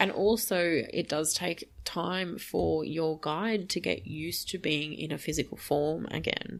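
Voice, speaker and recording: A woman's very deep, low voice with vocal fry, fairly slow yet with hardly any pauses. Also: ordinary pitch variation. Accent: Australian. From Australia. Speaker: spiritual medium podcaster. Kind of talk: casual monologue. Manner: many fillers, casual.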